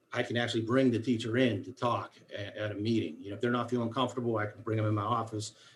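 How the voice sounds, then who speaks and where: A man at medium pitch talks at a very fast pace with hardly any pauses. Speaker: school special education coordinator. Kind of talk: formal meeting report. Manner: animated.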